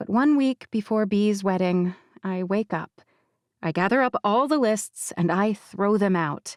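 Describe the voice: Plain reading aloud, the background quiet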